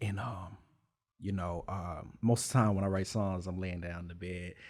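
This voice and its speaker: In a very deep, low pitch, a man speaks at a moderate pace with fairly even intonation. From Texas. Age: 20s. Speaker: rapper. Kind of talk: interview. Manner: laid back.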